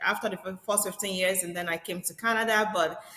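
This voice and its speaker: A woman speaks with fairly even intonation over noticeable background noise. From Nigeria. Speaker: real estate agent. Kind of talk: podcast interview.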